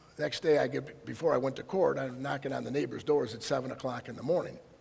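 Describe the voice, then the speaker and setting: The voice moves at a very fast pace with very wide pitch swings. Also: man. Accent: Upper Midwest. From Michigan, Detroit area. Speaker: county prosecutor. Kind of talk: public presentation. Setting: presentation to audience. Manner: animated.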